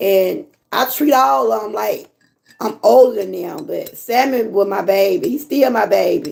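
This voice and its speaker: Her tone animated, a woman with a fairly high voice and vocal fry speaks at a fairly slow pace with very wide pitch swings. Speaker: lifestyle vlogger. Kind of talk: casual chat. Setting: livestream.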